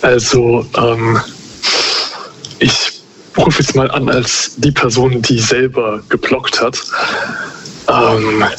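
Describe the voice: A man's slow, medium-pitched voice with a fairly bright tone, little pitch movement and long, frequent pauses.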